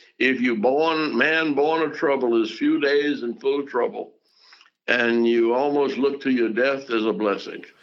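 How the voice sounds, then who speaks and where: The man's pitch is fairly high, with ordinary variation. He speaks at a fairly slow pace. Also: very even loudness. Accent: Southern US. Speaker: civil rights activist, pastor, politician, diplomat. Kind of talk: interview answer, reminiscing.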